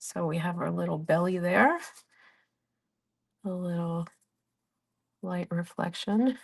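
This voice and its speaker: Long, frequent pauses break up a woman's somewhat breathy, fairly low voice, which keeps fairly even intonation. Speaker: art tutorial creator. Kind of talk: tutorial. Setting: livestream.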